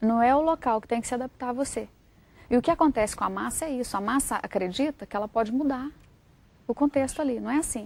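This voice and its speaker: At a very fast pace, a woman talks with a high pitch. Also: ordinary pitch variation. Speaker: writer and journalist. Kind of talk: TV interview.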